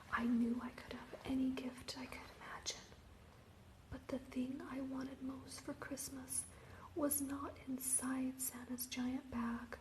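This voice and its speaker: Soft-spoken whispering in a gentle tone comes at a fairly slow pace over noticeable background noise. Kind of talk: whispered ASMR picture-book reading, relaxing bedtime story. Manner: whispered, soft, gentle.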